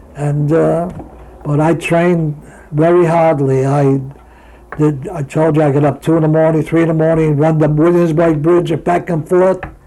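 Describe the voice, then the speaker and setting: A man with a New York accent speaks at a moderate pace and a fairly high pitch, in a monotone, flat intonation. His loudness stays very even over noticeable background noise. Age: 80s+. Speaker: retired boxer. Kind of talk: interview. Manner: halting.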